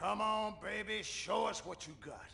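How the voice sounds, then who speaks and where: A man performs a put-on character voice, high and raspy, at a moderate pace. Light background noise is present. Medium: video game.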